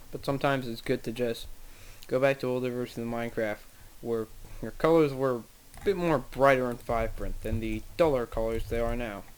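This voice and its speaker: Quietly, a man talks at a fairly quick pace. His pitch is medium and his intonation fairly even. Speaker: gaming video creator. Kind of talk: gameplay commentary.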